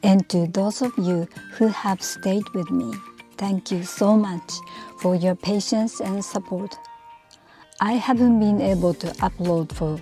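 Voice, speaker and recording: Music in the background behind a woman at a very slow pace, medium pitch, ordinary pitch variation. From Japan. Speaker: YouTube channel host. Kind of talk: channel intro to camera.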